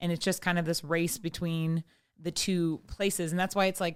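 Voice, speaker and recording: A loud woman with a fairly low pitch talks at a moderate pace in a very clean recording with a silent background. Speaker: podcast host; writer and poet. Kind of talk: casual chat.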